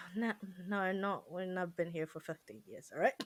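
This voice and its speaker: The voice has a bright, sharp tone. It moves at a moderate pace. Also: woman. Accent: non-native. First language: not English. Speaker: podcast co-host. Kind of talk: casual chat.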